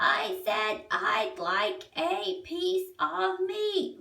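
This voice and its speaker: Using a squeaky, put-on character voice, a woman speaks at an extremely high pitch and a very slow pace with very wide pitch swings. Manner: loud, booming.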